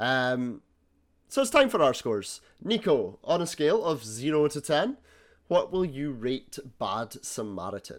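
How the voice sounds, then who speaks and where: A man with a Scottish accent talks at a fairly slow pace in a fairly high pitch, his voice making very wide pitch swings on a very clean recording with a silent background. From Scotland. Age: 20s. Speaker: podcast host. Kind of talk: casual chat.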